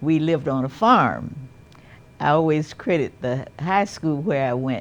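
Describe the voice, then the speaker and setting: A woman talks at a moderate pace with an American accent. Her pitch varies in an ordinary way. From US South. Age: 80s+. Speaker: retired community commissioner. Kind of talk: interview. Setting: studio.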